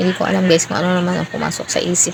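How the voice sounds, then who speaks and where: Against noticeable background noise, a woman with a fairly low pitch speaks at a very fast pace. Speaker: cooking vlogger. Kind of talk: cooking voice-over. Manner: casual, chatty.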